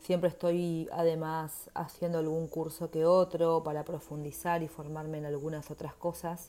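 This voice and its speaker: A woman with a Uruguayan accent, a fairly low pitch, a dark, mellow tone and monotone, flat intonation. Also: moderate pace, hardly any pauses. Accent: Rioplatense Spanish (Uruguayan). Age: 30s. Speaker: podcast host and menstrual therapist. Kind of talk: solo podcast introduction.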